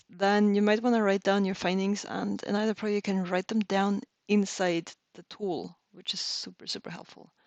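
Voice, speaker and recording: A woman with a non-native accent speaks at a medium pitch and moderate pace in a monotone, flat intonation, her loudness swinging widely, against a quiet background with a dry, close sound and no echo. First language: not English. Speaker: reverse engineering instructor. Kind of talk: tutorial. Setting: live stream. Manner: casual, hesitant with fillers.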